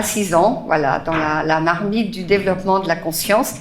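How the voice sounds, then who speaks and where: A woman is speaking. Room echo is audible, and there is noticeable background noise. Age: 60s. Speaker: spiritual teacher. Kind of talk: talk to live audience. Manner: hesitant, many fillers.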